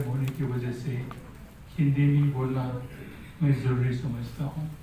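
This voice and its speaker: Amid audible room echo, a man talks at a fairly high pitch with monotone, flat intonation. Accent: Marathi. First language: Marathi (speaking Hindi). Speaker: scholar, speaker at book launch. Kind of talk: formal speech to an audience.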